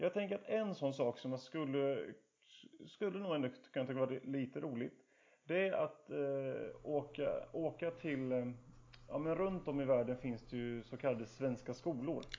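A man talks with an unremarkable speaking voice. His pitch sits fairly high and moves with ordinary variation. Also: moderate pace. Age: 30s. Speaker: podcast co-host. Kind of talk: casual chat.

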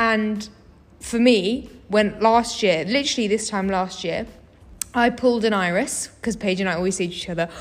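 With a British accent, a woman speaks at a moderate pace in a fairly high pitch with ordinary pitch variation. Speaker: university student. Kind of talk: casual chat.

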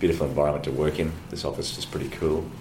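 A man with an Australian accent talks very fast in a very deep, low voice and a flat monotone, with audible room echo and noticeable background noise. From Australia (Brisbane, Queensland). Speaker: lawyer. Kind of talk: interview. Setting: office.

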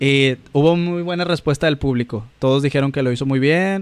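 The speaker is a man with a fairly high pitch. He moves at a fairly quick pace with fairly even intonation. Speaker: podcast co-host. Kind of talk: casual chat.

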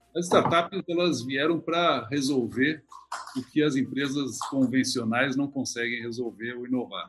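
A man talks at a fairly slow pace in medium pitch, with ordinary pitch variation. It is an ordinary speaking voice. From Porto Alegre, southern Brazil. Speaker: company executive. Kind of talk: casual interview chat.

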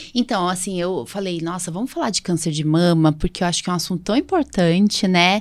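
At a fairly quick pace and with hardly any pauses, a woman with a medium pitch uses an ordinary speaking voice with ordinary pitch variation on a very clean recording with a silent background. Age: 40s. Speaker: allergist and podcast host. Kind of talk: casual chat.

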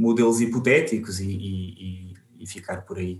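A man speaks at a very slow pace. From Portugal, Alentejo. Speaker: biostatistician. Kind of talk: interview. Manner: halting, many repetitions.

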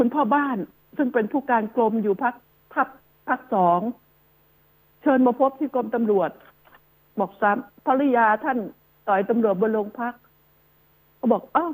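High-pitched female voice with ordinary pitch variation. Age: 70s. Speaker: radio host. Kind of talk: radio talk commentary. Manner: animated.

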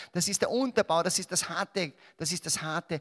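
Using a Salzburg accent, a man speaks in a high pitch with an animated tone and lively intonation, the sound dry and close with no echo. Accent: Austrian German (Salzburg). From Austria, Salzburg. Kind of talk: religious talk to a live audience.

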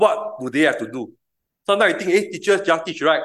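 A man talks in a bright, sharp tone. He goes at a very fast pace. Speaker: preacher. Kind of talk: sermon. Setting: church. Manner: fast talker.

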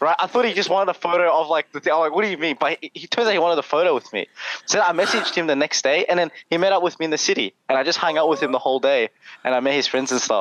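Speaking very fast with an Australian accent, a man uses a high pitch and ordinary pitch variation in a dry, close sound with no echo. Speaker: content creator. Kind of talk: casual chat. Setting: video call. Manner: animated.

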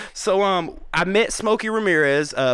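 A man speaks at a fairly slow pace while his pitch swings very widely. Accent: Southern US. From US South, Georgia (Atlanta area), born South Carolina. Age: 30s. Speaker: rapper and youtuber. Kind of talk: casual chat. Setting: studio.

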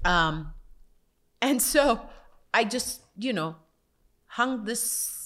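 On a very clean recording with a silent background, a woman's fairly high, bright and sharp voice carries lively intonation. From South Africa. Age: 40s. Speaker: actress and author. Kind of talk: casual faith conversation.

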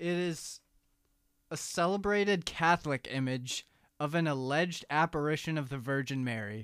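A man's fairly high voice at a moderate pace, with ordinary pitch variation, dry and close with no echo, on a very clean recording against a silent background; an ordinary speaking voice. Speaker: college radio host. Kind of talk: casual chat.

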